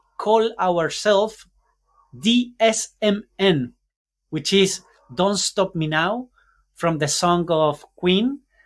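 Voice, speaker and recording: A man with a Spanish accent and a high pitch, ordinary pitch variation, a very slow pace and long, frequent pauses. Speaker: podcaster and entrepreneur mentor. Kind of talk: podcast interview. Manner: halting, searching for words.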